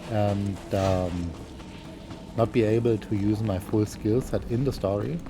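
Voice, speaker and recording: Over music in the background, a man with a German accent talks at a fairly slow pace in a fairly low pitch, with ordinary pitch variation and very even loudness. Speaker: gaming YouTuber. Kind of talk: gameplay commentary. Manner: halting, many fillers.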